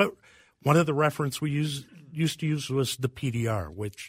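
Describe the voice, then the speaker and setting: A man's voice is somewhat breathy, and his intonation is lively. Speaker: pharmacist. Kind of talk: radio call-in panel answering listener questions. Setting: radio studio.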